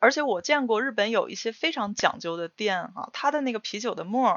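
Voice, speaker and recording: A woman's high pitch with very wide pitch swings. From Northeast China. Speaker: podcast co-host. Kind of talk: casual chat.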